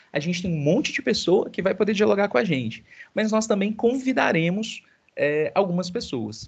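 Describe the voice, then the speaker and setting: Somewhat breathy, a man speaks with very wide pitch swings. The background is quiet. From Minas Gerais, Zona da Mata (Brazil). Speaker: university professor. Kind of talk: online class meeting with students. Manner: fast; animated.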